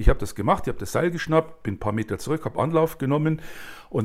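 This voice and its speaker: A very clean recording, the background is silent. Some breathiness runs through the voice. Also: man. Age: 60s. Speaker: author, director and actor. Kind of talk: casual chat.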